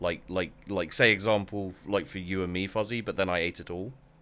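Fairly low in pitch, this man speaks at a fairly quick pace with fairly even intonation. He has a plain, everyday voice. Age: 30s. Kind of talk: casual chat.

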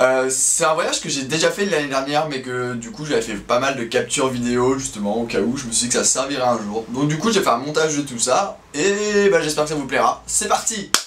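This man talks at a fairly quick pace with lively intonation. He leaves hardly any pauses. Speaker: youtuber. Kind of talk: casual vlog chat. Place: home room.

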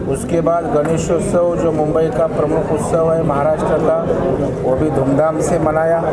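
A man talks at a very slow pace. Loud background noise fills the recording. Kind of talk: press statement to media. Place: hall. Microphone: handheld.

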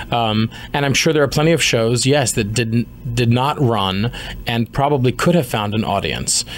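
A man with an American accent at medium pitch, moderate pace and ordinary pitch variation, amid noticeable background noise. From US, Washington D.C. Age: 30s. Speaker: musical theatre actor. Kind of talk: interview. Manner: hesitant with fillers.

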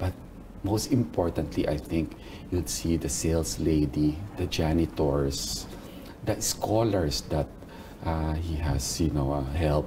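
Against noticeable background noise, a man with a very deep, low pitch talks fairly slowly, with ordinary pitch variation. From Philippines. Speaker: mall operations executive. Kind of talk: interview. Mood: warm, reminiscing. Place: office.

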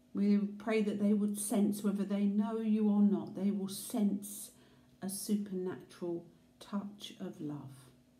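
A woman's somewhat breathy, dark, mellow tone at medium pitch, with fairly even intonation and audible room echo. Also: fairly slow pace. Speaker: prayer leader. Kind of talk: fervent intercessory prayer. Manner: earnest, reverent; warm, heartfelt pleading. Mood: calm, earnest, prayerful. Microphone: phone near.

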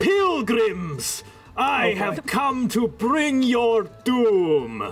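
A man puts on a character voice at an extremely high pitch. He speaks at a very slow pace over clear music in the background. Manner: menacing, shouting.

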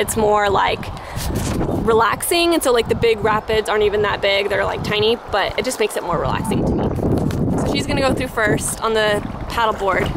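Loud background noise surrounds fairly quick speech with a dry sound and no echo. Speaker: vlogger. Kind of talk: casual vlog chat. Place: waterside. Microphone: phone near.

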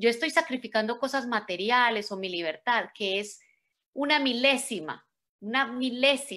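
A woman talks with a bright, sharp tone. Her pace is moderate and her pitch variation ordinary. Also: quiet background. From Colombia, Medellín. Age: 40s. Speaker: motivational speaker. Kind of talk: motivational talk. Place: home room. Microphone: video call.

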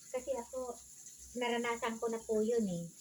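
Noticeable noise sits in the background as a woman talks. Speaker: vlogger. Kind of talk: casual vlog chat while doing chores. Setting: at home washing dishes.

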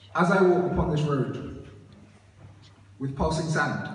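There is audible room echo and light background noise. The man's intonation stays fairly even. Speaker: student poet. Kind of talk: spoken word poetry performance with casual intro. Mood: nervous casual then earnest. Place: church.

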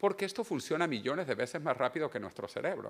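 He talks at a very fast pace. This man's pitch swings very widely. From Venezuela. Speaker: author and futurist. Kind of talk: book presentation talk. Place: hall. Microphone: lapel.

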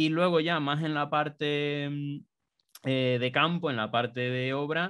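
A man at a very slow pace with fairly even intonation. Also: quiet background. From Canary Islands (Tenerife); Canary Islands. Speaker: BIM consultant; interviewee. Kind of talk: interview. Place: home room. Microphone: studio mic.

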